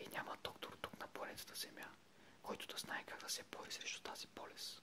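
Whispering fills this clip at a moderate pace. Noticeable background noise is present. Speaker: ASMR video creator reading aloud. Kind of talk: whispered ASMR reading of a short text. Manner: whispered, soft-spoken.

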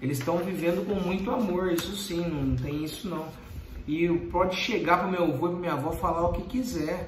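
A man's high-pitched voice at a fairly quick pace, with ordinary pitch variation, light background noise and audible room echo. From Brazil. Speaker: YouTuber. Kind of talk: Q&A video reading follower questions. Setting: recording late at night. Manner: direct and brisk. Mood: earnest, somewhat defensive. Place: home room. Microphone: phone near.

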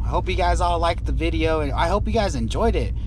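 A man's very deep, low voice at a fairly quick pace, dry sound with no echo, and noticeable background noise. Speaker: construction worker vlogger. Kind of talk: casual vlog chat. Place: car. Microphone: phone near.

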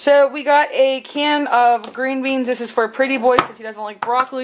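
A woman speaks at a high pitch with fairly even intonation.

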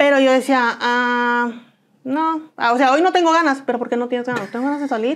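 A high-pitched woman at a fairly quick pace, with fairly even intonation. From northern Mexico (Comarca Lagunera, Coahuila/Durango); northern Mexico. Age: 30s. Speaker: interviewee. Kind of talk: interview testimony. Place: studio. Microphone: lapel.

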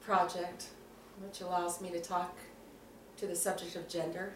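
A woman speaks amid audible room echo. Light background noise can be heard. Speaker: student interviewer, self-described straight ally. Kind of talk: casual interview. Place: home room. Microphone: camera far.

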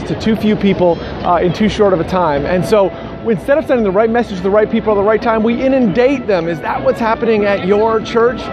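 A man's high voice with ordinary pitch variation, dry sound with no echo, and music in the background. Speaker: ministry leadership coach. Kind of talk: casual vlog chat. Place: street. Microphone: phone near.

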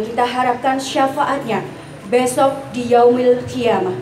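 A woman's high voice at a moderate pace, with light background noise and audible room echo. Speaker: master of ceremonies. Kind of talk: formal religious event hosting. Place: tent.

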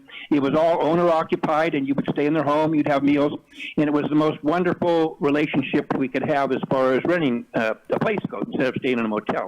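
Fairly quick, nearly pause-free speech from a man with fairly high pitch, very even loudness and ordinary pitch variation, over noticeable background noise. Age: 60s. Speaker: public commenter at city council meeting. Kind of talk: public comment.

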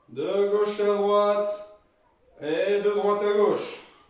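The recording has audible room echo. A man speaks at a very slow pace. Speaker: fitness coach. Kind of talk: workout instruction. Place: home room. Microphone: camera far.

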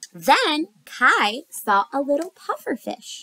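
Recorded dry and close with no echo, a woman speaks at a high pitch.

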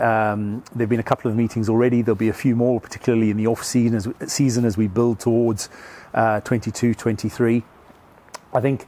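Flat, monotone delivery from a man, dry with no echo. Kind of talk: interview answer. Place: stadium.

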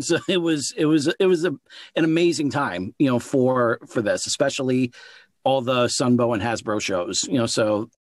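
A man speaks in a normal speaking voice at medium pitch and a moderate pace, his intonation lively, the recording very clean with a silent background and a dry, close sound with no echo. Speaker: podcast host, author, audiobook narrator and voice actor. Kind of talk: podcast interview, casual conversational hosting.

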